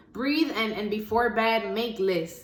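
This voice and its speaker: Noticeable background noise surrounds a woman speaking at a fairly high pitch. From US Northeast, the Bronx, Dominican family. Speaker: spoken word poet. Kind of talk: spoken word poetry performance.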